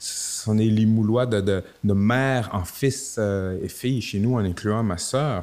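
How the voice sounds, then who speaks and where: At a very slow pace with hardly any pauses, a man speaks in a fairly low pitch with ordinary pitch variation. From Quebec City, Quebec (Limoilou). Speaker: rapper. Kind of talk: interview. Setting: improvised studio.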